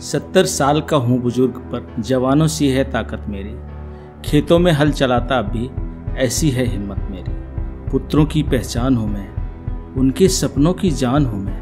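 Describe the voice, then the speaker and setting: Over background music, a man of medium pitch speaks with very wide pitch swings. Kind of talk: poetry reading.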